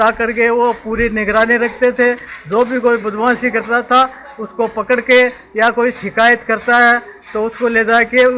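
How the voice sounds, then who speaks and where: Over noticeable background noise, a man projects a raised voice at an extremely high pitch, his intonation monotone and flat. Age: 70s. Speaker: village elder. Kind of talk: oral history interview.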